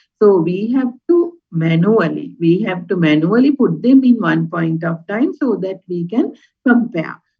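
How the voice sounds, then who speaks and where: A woman's medium-pitched voice, somewhat breathy, with lively intonation at a fairly slow pace. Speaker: university lecturer. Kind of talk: lecture.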